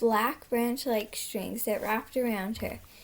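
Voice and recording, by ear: A text read aloud in a natural voice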